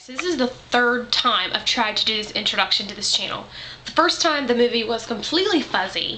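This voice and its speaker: Heard with audible room echo and noticeable background noise, a woman with a Southern US accent talks at a fairly high pitch with lively intonation. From US South. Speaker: vlogger. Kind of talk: casual vlog monologue. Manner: rambling, filler-heavy.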